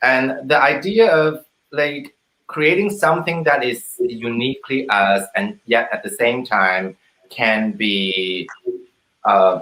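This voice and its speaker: A man with a non-native accent speaks very slowly at a medium pitch, his bright, sharp tone moving through very wide pitch swings. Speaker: actor and co-writer. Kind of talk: post-show panel talkback. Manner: halting, repeats words.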